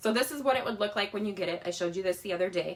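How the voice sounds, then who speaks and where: A woman of medium pitch speaks with lively intonation against noticeable background noise. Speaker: crafting product demonstrator. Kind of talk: live-stream tutorial. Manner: fast; casual, chatty.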